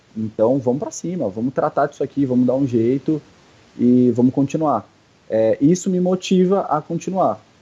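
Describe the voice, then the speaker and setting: In a plain, everyday voice, a man speaks at a fairly high pitch and moderate pace with lively intonation, in a dry, close sound with no echo. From São Paulo, Brazil. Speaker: CrossFit athlete. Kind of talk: casual interview.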